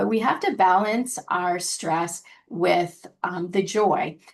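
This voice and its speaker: A woman with an American accent speaks at a medium pitch with fairly even intonation. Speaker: scientist, webinar presenter. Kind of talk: webinar presentation. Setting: online webinar. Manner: hesitant, with many fillers.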